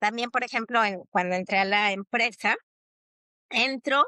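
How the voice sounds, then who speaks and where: A woman speaks at a moderate pace and fairly high pitch with a bright, sharp tone and fairly even intonation. The sound is dry and close with no echo, over a quiet background. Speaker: psychologist and teacher. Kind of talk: podcast interview.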